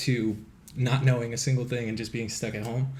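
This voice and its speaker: A man's voice sounds somewhat breathy. Audible room echo surrounds it. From Quebec, Montreal. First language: French. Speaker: actor and social media creator. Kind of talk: podcast interview.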